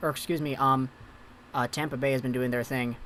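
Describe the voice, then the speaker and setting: A man talks at a fairly quick pace. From Philippines / Vancouver, Canada. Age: 20s. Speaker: hockey livestreamer. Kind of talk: live game commentary and chat reading. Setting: home room livestream. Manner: animated.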